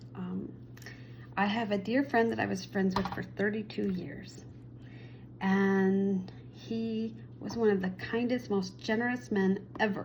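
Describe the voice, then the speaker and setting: A woman speaks at a fairly slow pace, leaving long, frequent pauses. Room echo is audible around her voice. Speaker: spiritual vlogger and Reiki practitioner. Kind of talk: casual personal storytelling vlog.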